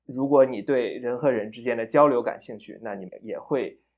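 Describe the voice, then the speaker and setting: A man speaks at a moderate pace in a medium-pitched, a plain, everyday voice. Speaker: theatre enthusiast and producer. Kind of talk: interview chat.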